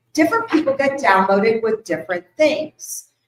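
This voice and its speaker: A woman is speaking. Her voice is loud. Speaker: spiritual teacher giving a workshop. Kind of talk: workshop talk to a live audience. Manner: loud, projecting.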